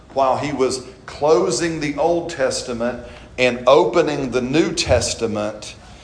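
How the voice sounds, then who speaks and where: Noticeable background noise sits behind a man talking at a fairly slow pace, his fairly high pitch showing ordinary variation. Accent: American. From Alabama. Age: 40s. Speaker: pastor. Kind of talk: sermon. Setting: church.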